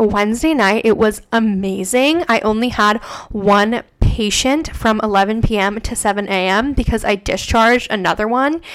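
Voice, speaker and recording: Noticeable background noise accompanies fairly slow speech with ordinary pitch variation. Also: woman. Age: 20s. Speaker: podcast host and registered nurse. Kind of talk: casual solo chat.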